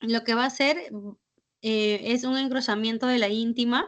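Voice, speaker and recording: In an ordinary speaking voice, this speaker moves at a fairly slow pace with ordinary pitch variation. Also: woman. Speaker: physician lecturer. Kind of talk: lecture.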